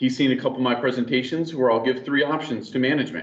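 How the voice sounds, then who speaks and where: This is a man with a medium-pitched voice. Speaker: network engineer presenter. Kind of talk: technical presentation. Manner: fast.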